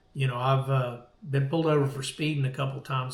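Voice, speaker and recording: Audible room echo surrounds a man whose fairly high, somewhat breathy voice stays flat and monotone. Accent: American. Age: 60s. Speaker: veteran surf fisherman. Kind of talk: casual chat. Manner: halting.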